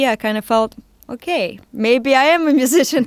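A woman with a Russian accent talks at a moderate pace in a dry, close sound with no echo, on a very clean recording with a silent background. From Siberia, Russia. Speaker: musician and fashion designer. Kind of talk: interview.

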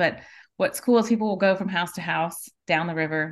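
Against a quiet background, a woman with an American accent speaks at a moderate pace and fairly low pitch, with ordinary pitch variation. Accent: Southern US, Cajun Louisiana. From South Louisiana, Cajun. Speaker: natural beauty products maker, mother, small farmer. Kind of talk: casual interview chat.

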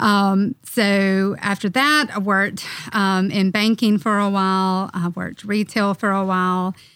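In a normal speaking voice, a woman talks fairly slowly at medium pitch, with fairly even intonation and hardly any pauses. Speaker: firm administrator. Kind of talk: casual team podcast chat. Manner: uses many filler words.

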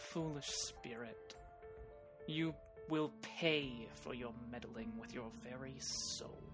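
Over loud background music, a put-on character voice drags along at a very slow pace, broken by long, frequent pauses. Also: man, medium pitch for a man. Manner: menacing, sneering.

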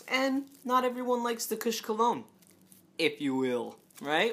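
Noticeable background noise sits behind the voice. A man speaks with very wide pitch swings. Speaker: podcast host.

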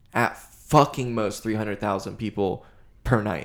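With an unremarkable speaking voice, a man talks at a fairly slow pace in a fairly low pitch and fairly even intonation, on a very clean recording with a silent background. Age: 20s. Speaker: podcast host appearing as guest. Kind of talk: casual chat.

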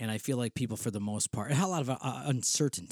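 With a Western New York accent, a man speaks at a very fast pace in an animated tone, the sound dry and close with no echo. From Western New York State. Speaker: spiritual director and podcast host. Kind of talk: casual solo podcast monologue. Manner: informal, rambling, animated, with fillers.

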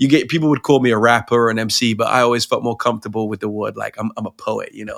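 This man talks very fast in a British accent, at a medium pitch with ordinary pitch variation. The recording is very clean, with a silent background. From Pakistan, English missionary family. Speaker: rapper and poet. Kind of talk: casual interview.

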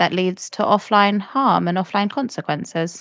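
On a very clean recording with a silent background, a woman speaks at a fairly quick pace with fairly even intonation. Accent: British. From UK. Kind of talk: explanatory discussion.

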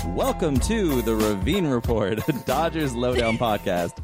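A man's loud, booming, put-on character voice at medium pitch and moderate pace, with clear music in the background. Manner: big, showy announcer delivery.

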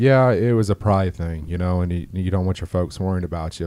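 Here a man speaks with an American accent and a dark, mellow tone. The recording is very clean, with a silent background. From Orlando, Florida.

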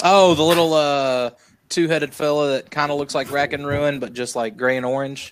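A man with a fairly high-pitched voice talks at a moderate pace. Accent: Southern. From US South. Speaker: podcast host. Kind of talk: casual chat. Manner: animated.

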